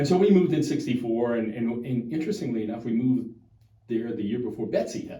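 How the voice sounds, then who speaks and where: Audible room echo surrounds a man talking at a very fast pace. His pitch is medium, with ordinary variation. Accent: American. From US South, Chalmette area of New Orleans, Louisiana. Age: 60s. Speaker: local politician. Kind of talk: interview. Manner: halting.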